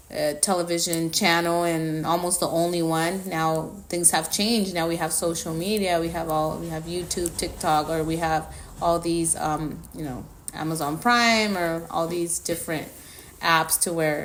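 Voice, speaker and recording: A woman with a Spanish accent speaks at a moderate pace with a fairly low pitch and monotone, flat intonation, with noticeable background noise and audible room echo. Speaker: podcast co-host. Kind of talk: casual chat.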